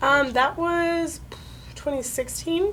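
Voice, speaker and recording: A woman with an American accent. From Connecticut, USA. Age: 20s. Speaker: navy veteran, nursing student. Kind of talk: interview answer. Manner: casual, conversational.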